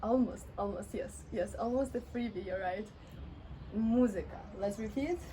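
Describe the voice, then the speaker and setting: With a Russian accent and a medium pitch, a woman speaks amid audible room echo. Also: ordinary pitch variation. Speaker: Russian language teacher. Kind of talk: language lesson. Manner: slow, repeating words.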